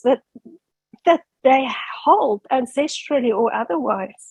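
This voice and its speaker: A woman with a South African accent talks in a high pitch with lively intonation at a fairly slow pace. The sound is dry and close, with no echo. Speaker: academic asking a question. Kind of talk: audience question.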